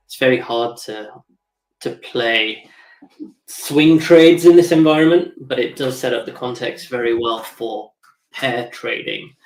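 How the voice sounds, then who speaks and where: A man at medium pitch shows ordinary pitch variation and big swings in loudness. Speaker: crypto trader streamer. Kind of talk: live trading stream commentary. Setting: live stream. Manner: fast.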